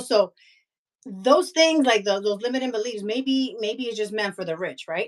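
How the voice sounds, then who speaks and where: A woman speaks in a Spanish accent in a very clean recording with a silent background. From Honduras. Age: 40s. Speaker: investing coach and author. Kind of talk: casual interview chat.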